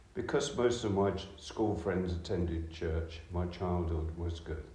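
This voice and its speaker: Amid noticeable background noise and audible room echo, a man speaks slowly-ish at a fairly slow pace in a very deep, low pitch. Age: 70s. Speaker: churchgoer. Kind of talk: testimony. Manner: halting.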